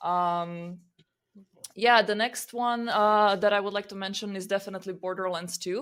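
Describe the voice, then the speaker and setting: A woman speaks with a Croatian accent. Her intonation stays fairly even. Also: medium pitch for a woman, moderate pace. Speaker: podcast co-host. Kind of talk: casual chat.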